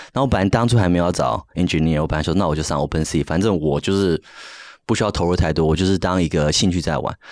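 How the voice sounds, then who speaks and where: At a very fast pace, a man talks with a very deep, low pitch and ordinary pitch variation. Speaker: NFT project founder, designer. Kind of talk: casual interview chat.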